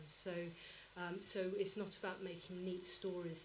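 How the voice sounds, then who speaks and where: Noticeable background noise and audible room echo. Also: woman. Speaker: composer and researcher. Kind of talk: conference presentation.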